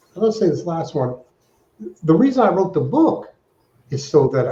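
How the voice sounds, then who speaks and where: Lively in intonation, a man speaks with a dark, mellow tone that is somewhat breathy. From Alaska. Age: 60s. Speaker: fundraising consultant. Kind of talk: interview.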